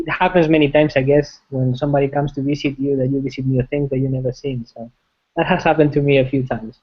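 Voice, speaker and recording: Speaking at a very fast pace, a man talks. His intonation is monotone and flat. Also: fairly high pitch for a man. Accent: Spanish. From Spain, Madrid. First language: Spanish. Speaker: software engineering manager. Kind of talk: interview. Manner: halting, many fillers and repetitions.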